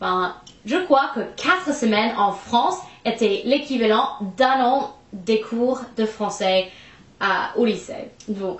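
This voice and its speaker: In an American accent, a woman speaks at a very slow pace with a fairly high pitch and lively intonation. Noticeable background noise and audible room echo fill the recording. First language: English (speaking French). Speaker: vlogger. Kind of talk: casual chat. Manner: halting, many hesitations.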